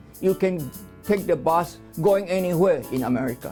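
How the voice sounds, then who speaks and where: Music plays in the background as a man speaks at a fairly slow pace. His pitch is fairly high and his intonation is lively. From China. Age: 80s+. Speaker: immigrant. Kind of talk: interview answer.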